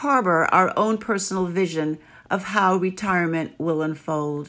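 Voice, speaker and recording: A woman speaks at a fairly slow pace and a medium pitch. The recording is very clean, with a silent background. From New York City. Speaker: blogger. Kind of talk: scripted narration.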